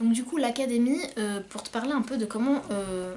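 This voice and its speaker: This woman's voice is fairly high in pitch, with ordinary pitch variation. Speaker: self-published novelist. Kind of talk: casual vlog talk. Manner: hesitant, many fillers.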